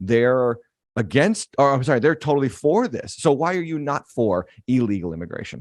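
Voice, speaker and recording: Over a quiet background, a man with an American accent and an unremarkable speaking voice talks at a moderate pace with lively intonation and a dry, close sound with no echo. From western Massachusetts. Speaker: pastor. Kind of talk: interview.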